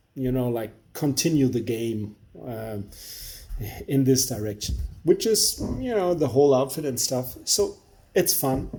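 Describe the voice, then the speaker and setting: A man's somewhat breathy, dark, mellow voice at a medium pitch, with a German accent and a fairly slow pace. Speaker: beer reviewer. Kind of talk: product review monologue. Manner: halting.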